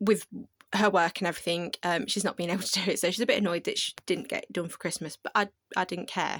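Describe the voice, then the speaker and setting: A woman with a British accent speaks at a medium pitch and a fairly quick pace. The sound is dry and close with no echo, a very clean recording with a silent background. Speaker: craft content creator. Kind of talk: casual video tour. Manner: fast.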